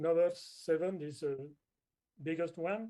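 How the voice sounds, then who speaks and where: A man with a non-native accent speaks in a dark, mellow tone with ordinary pitch variation. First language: not English. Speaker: groundwater expert. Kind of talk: webinar presentation. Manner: halting.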